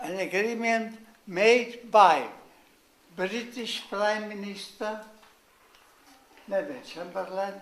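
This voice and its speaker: Speaking at a very slow pace in a Czech accent, a man with a high pitch for a man is heard amid noticeable background noise and audible room echo. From Czechoslovakia (Moravian family). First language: Czech or German. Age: 90s. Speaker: war veteran. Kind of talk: speech. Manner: halting.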